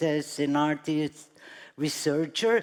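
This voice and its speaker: A woman with a Brazilian accent speaks at a fairly slow pace. The recording is very clean, with a silent background. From Brazil, São Paulo. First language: Portuguese. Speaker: artist. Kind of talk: panel talk.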